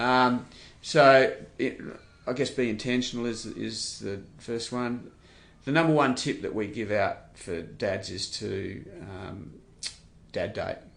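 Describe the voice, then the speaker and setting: In an Australian accent, the speaker goes at a very slow pace with long, frequent pauses, and audible room echo fills the recording. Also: man. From Western Australia. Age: 60s. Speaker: charity CEO. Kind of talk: interview.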